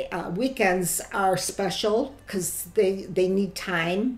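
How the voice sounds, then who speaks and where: With a Chicago accent, a woman talks at a very slow pace with fairly even intonation over noticeable background noise. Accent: Chicago American. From US Midwest, Chicago. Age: 70s. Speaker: grandmother interviewee. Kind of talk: oral history interview.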